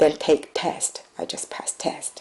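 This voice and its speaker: Someone with a Chinese accent speaks at a fairly slow pace. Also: woman. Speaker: immigrant nurse. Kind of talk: testimony. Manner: halting.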